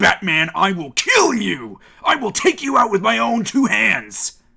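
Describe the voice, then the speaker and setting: The speaker is a man doing a put-on character voice. It sits high in pitch and goes at a fairly slow pace. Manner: menacing, shouting.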